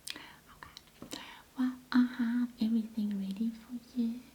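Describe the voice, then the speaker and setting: A soft-spoken woman with a gentle tone and a fairly high pitch, a monotone, flat intonation, and a very slow pace, over noticeable background noise. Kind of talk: ASMR roleplay, teacher explaining a history book. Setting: close-up ASMR recording. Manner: very soft, gentle, slow.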